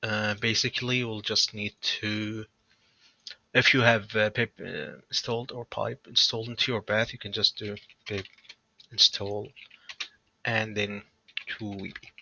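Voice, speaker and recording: A man's fairly low voice, monotone and flat, at a fairly slow pace with long, frequent pauses and big swings in loudness. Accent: non-native. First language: not English. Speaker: programming tutorial creator. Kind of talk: tutorial. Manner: hesitant, many fillers.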